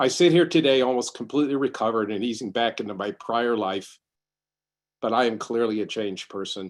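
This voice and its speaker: At a fairly quick pace, a man talks in an unremarkable speaking voice of medium pitch with ordinary pitch variation. The background is quiet. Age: 60s. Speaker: congregant sharing covid survival story. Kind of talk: testimony.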